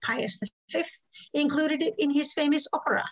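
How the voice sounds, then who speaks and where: A woman with ordinary pitch variation against a quiet background. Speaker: historical cooking class teacher; presenter. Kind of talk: lecture. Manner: halting, many ums. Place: kitchen. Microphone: webcam.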